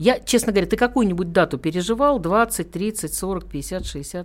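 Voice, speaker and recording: Vocal fry runs through a woman's lively intonation. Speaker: radio host. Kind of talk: casual interview chat. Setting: radio studio.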